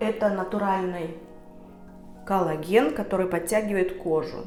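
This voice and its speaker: A woman speaks at a fairly slow pace amid noticeable background noise. Audible room echo colors the recording. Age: 50s. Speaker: beauty vlogger. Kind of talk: tutorial. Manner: casual with filler sounds.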